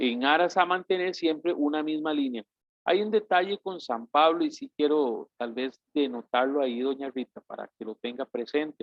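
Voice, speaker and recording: A man with a normal speaking voice talks fairly slowly at a fairly high pitch, with ordinary pitch variation. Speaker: bible course teacher. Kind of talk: lecture.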